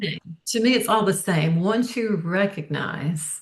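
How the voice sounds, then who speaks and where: A somewhat breathy woman's voice at a fairly slow pace, with ordinary pitch variation. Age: 60s. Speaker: author. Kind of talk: interview. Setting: podcast.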